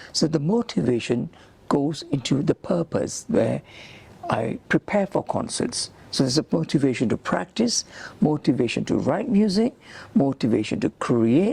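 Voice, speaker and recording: A man's fairly high voice with very wide pitch swings, very even loudness, a moderate pace, and a dry, close sound with no echo. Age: 70s. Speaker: musician and composer. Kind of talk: interview.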